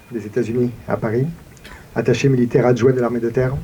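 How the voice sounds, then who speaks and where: A man talks fairly quickly with noticeable noise behind him. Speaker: town mayor. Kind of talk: commemorative speech. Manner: formal.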